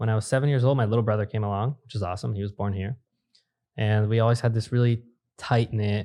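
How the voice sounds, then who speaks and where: A dark, mellow tone with fairly even intonation at a fairly quick pace. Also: man. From US, immigrant from Brazil as a toddler. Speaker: entrepreneur. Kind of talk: podcast interview. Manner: casual.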